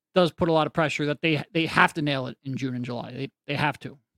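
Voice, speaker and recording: This man talks at a fairly quick pace in an American accent, with a normal speaking voice. His pitch is fairly high with ordinary variation, and the sound is dry and close with no echo. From Philadelphia. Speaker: basketball analyst. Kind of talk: sports talk interview.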